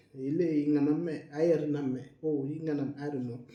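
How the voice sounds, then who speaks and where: A man with a fairly high voice speaks at a moderate pace, with audible room echo. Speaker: health educator and dialysis patient. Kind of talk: casual educational monologue. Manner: halting.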